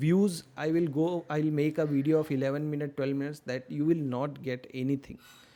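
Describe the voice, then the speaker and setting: Over a silent background in a very clean recording, a man with an Indian accent speaks at a fairly high pitch in a dark, mellow tone. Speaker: stock market educator. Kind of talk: tutorial. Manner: slow, deliberate.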